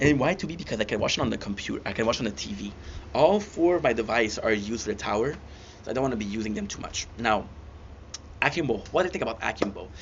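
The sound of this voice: Talking at a fast pace, a man's voice sits at a fairly low pitch. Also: lively intonation.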